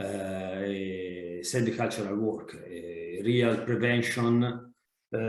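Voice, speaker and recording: The speaker is a man with ordinary pitch variation. Room echo is audible. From Italy. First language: Italian. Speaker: fire analyst. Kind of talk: webinar presentation and Q&A. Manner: halting, many hesitations and repetitions.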